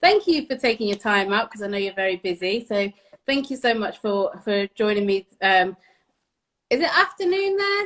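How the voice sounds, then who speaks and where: A woman in a British accent speaks at a moderate pace, her pitch fairly high and her intonation lively. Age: 30s. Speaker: interviewer. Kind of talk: casual interview. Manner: animated.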